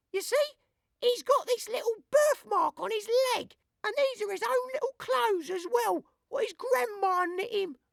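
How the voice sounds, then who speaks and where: A woman uses a put-on character voice. It sits at an extremely high pitch and makes very wide pitch swings. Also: moderate pace, dry, close sound with no echo. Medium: read story. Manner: chatty, homely.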